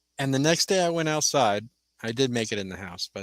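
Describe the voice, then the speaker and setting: Here a man speaks at a medium pitch. The sound is dry and close, with no echo. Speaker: YouTuber hosting a live stream. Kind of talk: casual live stream chat. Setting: home studio. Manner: loud.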